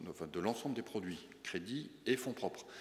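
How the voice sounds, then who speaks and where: Audible room echo hangs around the voice. Its pace is fairly quick. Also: man. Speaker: public bank chief executive. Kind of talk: conference talk and Q&A. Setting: business breakfast with audience. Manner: fast.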